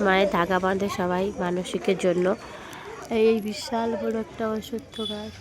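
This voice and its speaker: Against noticeable background noise, a woman speaks at a medium pitch with ordinary pitch variation. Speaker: vlogger. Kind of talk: casual vlog narration.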